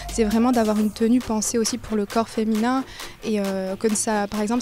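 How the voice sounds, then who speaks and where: Noticeable background noise sits behind a woman's voice. She talks at a fairly quick pace and a fairly high pitch, with monotone, flat intonation. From France, Strasbourg (Alsace). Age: 20s. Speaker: amateur footballer and sportswear entrepreneur. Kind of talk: interview testimony. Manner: hesitant, many fillers.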